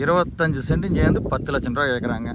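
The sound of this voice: Faint background noise sits under a man's fairly high voice. He talks at a fast pace with ordinary pitch variation.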